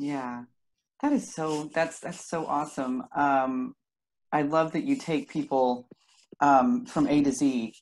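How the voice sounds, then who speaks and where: A woman's very deep, low voice with lively intonation, a very slow pace, and long, frequent pauses. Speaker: podcast host. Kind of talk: casual interview chat. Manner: giggly. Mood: warm, enthusiastic. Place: home room. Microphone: video call.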